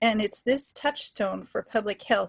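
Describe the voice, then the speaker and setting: Heard as a dry, close sound with no echo, a woman with a plain, everyday voice speaks at medium pitch and a moderate pace with an American accent. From US Pacific Northwest, Washington State. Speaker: public health scientist, webinar speaker. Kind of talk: lecture. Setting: webinar, video call.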